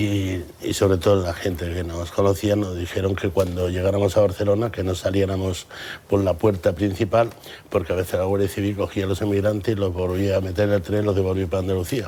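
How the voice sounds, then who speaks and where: A man talks with a very deep, low pitch. His pace is fairly quick and his intonation stays monotone and flat. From Andalusia, Campo de Gibraltar, Cádiz. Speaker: businessman. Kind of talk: TV interview. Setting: TV studio.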